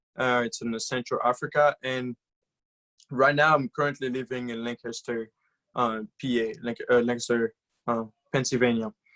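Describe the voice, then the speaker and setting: A man with a medium pitch speaks in a bright, sharp tone with monotone, flat intonation. His moderate pace is broken by long, frequent pauses, and the sound is dry and close with no echo. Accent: Congolese. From DR Congo. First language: French. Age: 20s. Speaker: guest speaker. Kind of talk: motivational talk.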